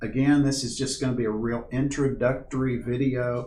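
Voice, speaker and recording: Spoken at a moderate pace with an American accent, the clip carries audible room echo and noticeable background noise. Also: man. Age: 60s. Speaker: backpacking instructor. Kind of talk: tutorial. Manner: casual, halting with fillers.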